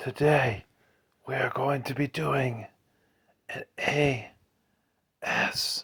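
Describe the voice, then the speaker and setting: A man whispering at a very slow pace. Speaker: gaming YouTuber. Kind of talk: ASMR video. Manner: soft-spoken.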